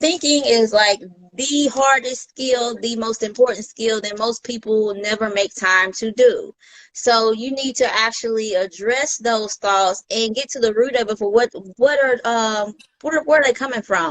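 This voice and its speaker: In a normal speaking voice, a woman with an American accent talks at a moderate pace, her fairly high pitch showing ordinary variation. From US South. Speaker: mindset coach. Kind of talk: casual interview.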